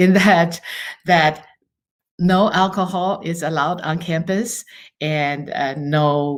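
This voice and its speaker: A woman with a Chinese accent and a fairly low pitch, in a very clean recording with a silent background. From Taiwan. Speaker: university international student advisor. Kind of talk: podcast interview.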